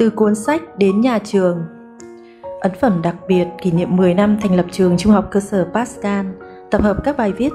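The speech moves at a fairly slow pace with ordinary pitch variation. Music can be heard in the background. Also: woman. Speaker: school academic advisor. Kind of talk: author reading her own book preface.

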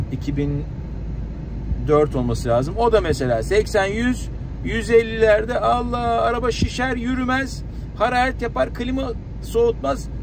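The sound is dry with no echo. A man speaks over noticeable background noise. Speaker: car vlogger. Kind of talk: casual vlog chat. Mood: annoyed complaining about overheating. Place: car.

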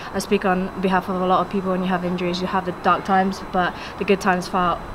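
Over noticeable background noise, a woman talks at a very fast pace in a flat monotone. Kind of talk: interview answer. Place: stadium. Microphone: handheld.

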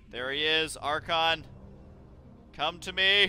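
A man's voice sits fairly high. Background music accompanies him. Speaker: gaming video commentator. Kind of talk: let's play gameplay commentary. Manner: energetic, excited.

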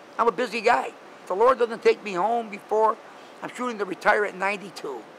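Over noticeable background noise, a man with an American accent and a high pitch talks at a very fast pace. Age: 70s. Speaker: street preacher and part-time salesman. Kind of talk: casual interview answer.

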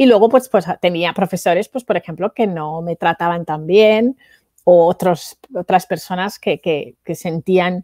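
A woman with a Spanish accent speaks fairly slowly, her tone dark and mellow with ordinary pitch variation. The sound is dry with no echo against a quiet background. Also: fairly low pitch for a woman. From Spain (Valencia); Spain. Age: 40s. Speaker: entrepreneur and international speaker; speaker. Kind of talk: interview. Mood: reflective, recalling hard childhood. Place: home room. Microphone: headset.

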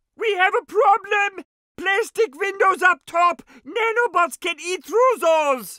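The voice is a cartoonish character voice pitched extremely high. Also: fairly slow pace. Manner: formal, dry, proper.

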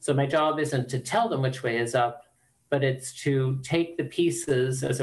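Somewhat breathy, fairly slow speech from a man. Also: quiet background. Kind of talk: interview answer. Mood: calm, thoughtful. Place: home room. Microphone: video call.

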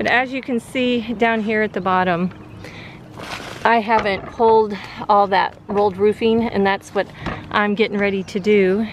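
Against noticeable background noise, a woman speaks at a moderate pace in a monotone, flat way with long, frequent pauses, the sound dry with no echo. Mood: cheerful, admiring. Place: open country. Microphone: phone near.

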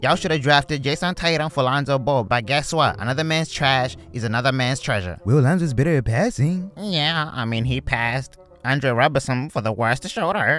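With music in the background, a man in an animated tone and fairly high pitch uses lively intonation and hardly any pauses. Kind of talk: comedy roast skit. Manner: animated, mocking back-and-forth; fast, taunting, impersonating different players.

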